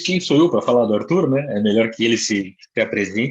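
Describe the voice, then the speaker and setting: His voice sits at a medium pitch. This man shows ordinary pitch variation. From Curitiba, southern Brazil. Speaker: management consultant, civil engineer. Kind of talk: webinar presentation.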